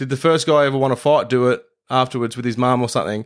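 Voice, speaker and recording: A man with an Australian accent speaks at a medium pitch with ordinary pitch variation, recorded very cleanly against a silent background. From Brisbane, Australia. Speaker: podcast host. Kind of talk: scripted narration; casual chat. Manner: animated.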